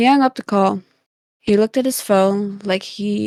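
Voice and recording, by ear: Reading aloud in a natural voice, the speaker uses ordinary pitch variation against a quiet background.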